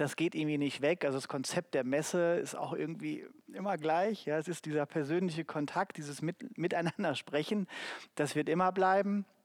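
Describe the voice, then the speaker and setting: This man has a normal speaking voice, pitched fairly high, with ordinary pitch variation at a moderate pace. The sound is dry and close, with no echo. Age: 40s. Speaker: HR marketing manager. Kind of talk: live panel talk. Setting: stage with audience.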